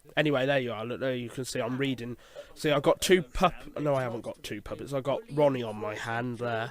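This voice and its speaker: Here a man speaks with an English accent. He keeps a fairly quick pace. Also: medium pitch for a man, fairly even intonation. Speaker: puppeteer and voice artist. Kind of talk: audio commentary. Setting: in a shed, headphones on. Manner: hesitant, many fillers.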